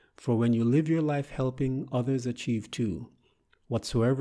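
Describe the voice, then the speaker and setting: A man's medium-pitched, dark and mellow voice with fairly even intonation. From Jamaica. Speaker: motivational author and poet. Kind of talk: poetry reading.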